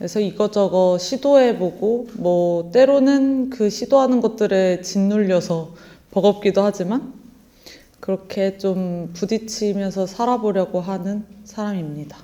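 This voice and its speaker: Her pitch varying in an ordinary way, a woman speaks fairly slowly. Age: 20s. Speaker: actor. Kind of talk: interview. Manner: halting.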